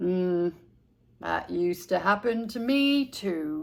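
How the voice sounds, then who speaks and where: Putting on a character voice, a woman speaks at a fairly slow pace with medium pitch and lively intonation. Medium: read story.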